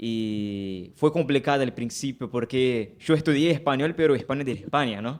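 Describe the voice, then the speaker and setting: This man speaks at a moderate pace and a medium pitch, with ordinary pitch variation and hardly any pauses. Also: very clean recording, silent background. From Brazil, Rio de Janeiro. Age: 20s. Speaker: pastor. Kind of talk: casual chat.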